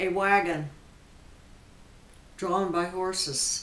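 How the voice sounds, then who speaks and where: Noticeable background noise sits behind a woman speaking at a medium pitch. Her intonation stays fairly even. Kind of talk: interview answer.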